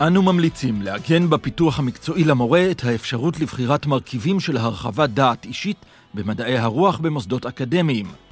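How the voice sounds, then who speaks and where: With music in the background, a man speaks at a medium pitch. His intonation is lively. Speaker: narrator. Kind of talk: explainer video narration.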